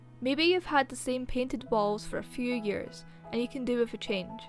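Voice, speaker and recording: A woman's high-pitched voice at a moderate pace, with music in the background. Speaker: YouTuber. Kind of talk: motivational self-help narration.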